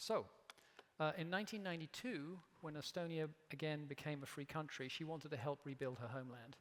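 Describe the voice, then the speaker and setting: The speaker has an English accent and a fairly quick pace. Pitch variation is ordinary. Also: man, fairly high pitch for a man. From England. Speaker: company CEO, keynote speaker. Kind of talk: keynote speech. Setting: stage with audience.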